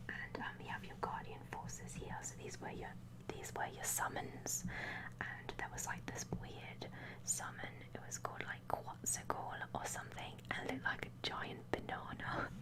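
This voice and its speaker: Someone whispers over noticeable background noise. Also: moderate pace. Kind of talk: ASMR guidebook flip-through talk. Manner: whispered.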